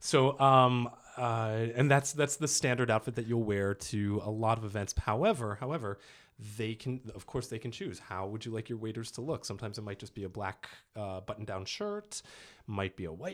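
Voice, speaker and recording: A man with an American accent speaks in a normal speaking voice at a medium pitch and a fairly quick pace, his loudness swinging widely, on a very clean recording with a silent background. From US East Coast. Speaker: actor and dialect coach. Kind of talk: casual chat.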